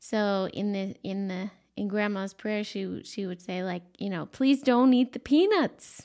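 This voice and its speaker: On a very clean recording with a silent background, a woman at medium pitch speaks at a fairly slow pace in a warm, relaxed tone with ordinary pitch variation. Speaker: life coach podcast host. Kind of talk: solo podcast monologue, conversational. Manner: warm, relaxed, with frequent filler words.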